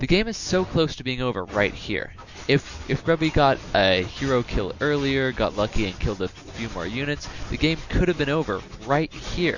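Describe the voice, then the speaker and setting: A man's medium-pitched voice with very wide pitch swings, set against noticeable background noise. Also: moderate pace. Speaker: gaming video commentator. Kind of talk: scripted narration. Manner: stuttering.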